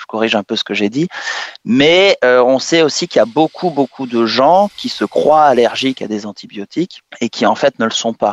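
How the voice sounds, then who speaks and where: Dry and close with no echo, a man's medium-pitched voice moves at a fairly slow pace with very wide pitch swings. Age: 30s. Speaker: infectious disease doctor. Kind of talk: radio interview, medical explanation.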